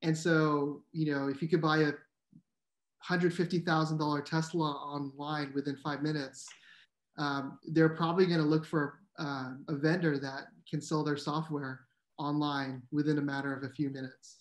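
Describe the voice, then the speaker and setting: A man with a fairly high voice talks at a moderate pace in a monotone, flat intonation. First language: Tagalog. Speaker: startup founder in sales tech. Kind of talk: interview. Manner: hesitant, many fillers.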